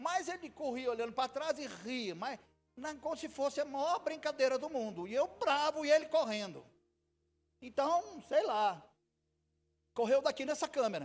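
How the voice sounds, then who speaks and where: Over background music, a man with an extremely high pitch sounds animated, using lively intonation and long, frequent pauses. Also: fairly slow pace. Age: 60s. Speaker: pastor. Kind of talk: sermon. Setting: church.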